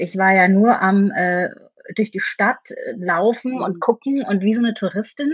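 Somewhat breathy, a woman speaks at medium pitch and a moderate pace with ordinary pitch variation. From Franconia, Bavaria. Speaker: actress and musical performer. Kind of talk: casual interview chat.

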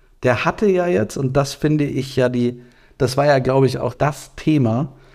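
In an ordinary speaking voice, a man keeps a moderate pace. His pitch stays medium and shows ordinary pitch variation. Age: 30s. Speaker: podcast co-host. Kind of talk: casual chat.

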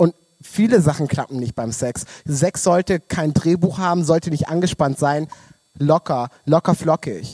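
Its tone is dark and mellow. The pitch rises and falls in an ordinary way. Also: man, fairly high pitch for a man, dry, close sound with no echo. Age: 20s. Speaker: podcast guest, queer community worker. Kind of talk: casual chat. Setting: stage in a club, live-streamed.

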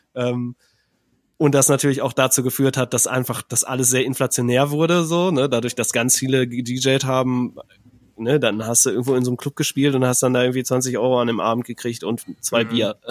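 A man speaks at a medium pitch and a fairly quick pace, in a monotone, flat intonation. The sound is dry and close, with no echo. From Ruhr area, Germany. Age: 30s. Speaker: composer and podcaster. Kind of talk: casual chat.

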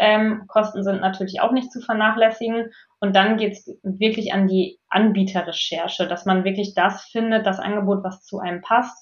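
Somewhat breathy, a woman talks at a moderate pace. She leaves hardly any pauses. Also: medium pitch for a woman, fairly even intonation. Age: 30s. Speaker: management consultant and coach. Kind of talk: interview.

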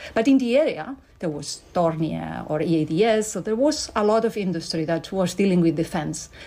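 A woman with a Spanish accent, her fairly low voice dark and mellow, lively in intonation, at a moderate pace with hardly any pauses. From Spain. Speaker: company board executive. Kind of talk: interview.

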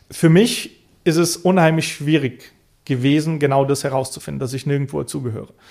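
A man's fairly high-pitched voice, dark and mellow in tone, with ordinary pitch variation at a moderate pace. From Bulgaria, Roma minority; raised partly in Mosel region, Germany. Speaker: political scientist and activist. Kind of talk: interview. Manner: hesitant, frequent fillers.

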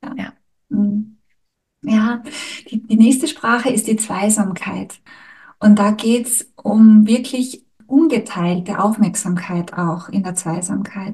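A woman speaks at a very slow pace with long, frequent pauses and big swings in loudness. Her voice is fairly high in pitch, somewhat breathy and dark and mellow in tone, with ordinary pitch variation. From Austria, Styria. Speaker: podcast host, couples therapist. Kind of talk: casual chat.

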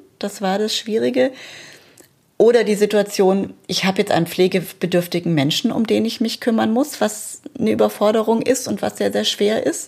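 In an unremarkable speaking voice, a woman talks at a moderate pace and medium pitch with ordinary pitch variation. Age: 40s. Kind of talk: personal testimony.

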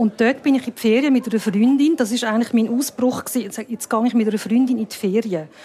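The words come very fast, with noticeable background noise behind them. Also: woman. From Switzerland. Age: 50s. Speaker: filmmaker. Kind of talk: casual chat. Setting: bar. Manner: halting.

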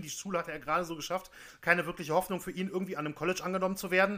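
This man's voice has a bright, sharp tone and a high pitch. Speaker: podcast co-host, storyteller. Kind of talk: narrated storytelling.

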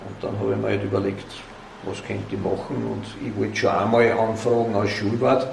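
Amid noticeable background noise and audible room echo, a man speaks with fairly even intonation. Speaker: volunteer museum director. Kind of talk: interview. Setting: museum. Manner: halting.

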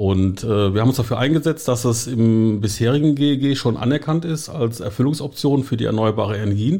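A man speaks with a slight Rhineland accent at a medium pitch, with hardly any pauses. His tone is dark and mellow. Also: ordinary pitch variation. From western Germany, Eifel near Düren (Rhineland). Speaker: marketing head of a liquefied gas supplier. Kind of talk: interview. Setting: studio.

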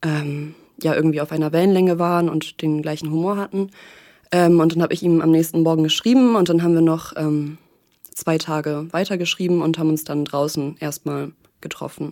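At a fairly quick pace, a woman speaks with a fairly low pitch and a dark, mellow tone. Her intonation is fairly even, and the recording is very clean with a silent background. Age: 20s. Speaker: podcast guest sharing a breakup. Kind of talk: personal interview. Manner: calm, composed; hesitant, many fillers.

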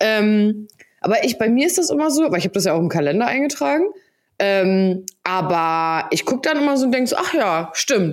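A woman with a slight Hamburg accent speaks at a moderate pace in a fairly high pitch. Her pitch swings are very wide while her loudness stays very even. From Hamburg, northern Germany. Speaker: podcast co-host. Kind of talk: casual chat.

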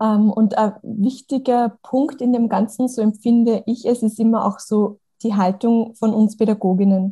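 A woman's fairly high, somewhat breathy voice with a dark, mellow tone, monotone, flat intonation, a fairly slow pace and hardly any pauses. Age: young. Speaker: podcast host and kindergarten teacher. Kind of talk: interview.

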